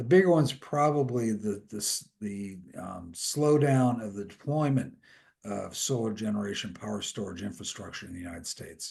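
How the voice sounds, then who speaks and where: Loudness swings widely. The intonation is lively. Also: man, fairly low pitch for a man. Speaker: industry analyst. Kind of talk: webinar presentation. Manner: fast.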